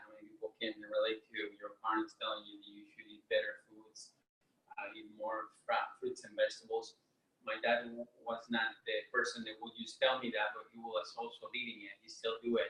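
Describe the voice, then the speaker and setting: A man talks at a moderate pace with a Mexican accent. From Mexico. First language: Spanish. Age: 30s. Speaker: entrepreneur and health presenter. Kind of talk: health seminar talk. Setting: video call. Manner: hesitant, many fillers.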